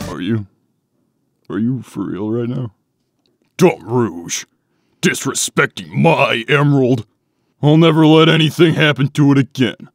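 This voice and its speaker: A man uses a put-on character voice at a medium pitch. He keeps a moderate pace with long, frequent pauses. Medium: dub.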